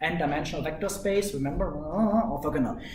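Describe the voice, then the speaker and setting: With audible room echo, a man in a German accent speaks at a high pitch with lively intonation. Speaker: university lecturer. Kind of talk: lecture. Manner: animated.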